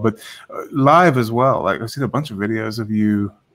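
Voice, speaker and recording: A fairly low-pitched man with an English accent at a fairly quick pace. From England. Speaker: online show host. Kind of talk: casual interview chat. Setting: video call. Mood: friendly, casual. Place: office. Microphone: studio mic.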